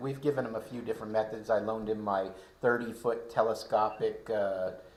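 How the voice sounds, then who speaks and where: Audible room echo surrounds a man speaking fairly quickly at a medium pitch with ordinary variation. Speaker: amateur radio club leader. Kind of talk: casual club meeting chat. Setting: in-person club meeting. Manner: talkative, keeps going.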